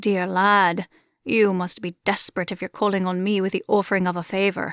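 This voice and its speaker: In a booming, put-on character voice at a medium pitch, a woman talks at a fairly quick pace over a very clean recording with a silent background. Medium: read story. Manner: theatrical, grandiose, teasing.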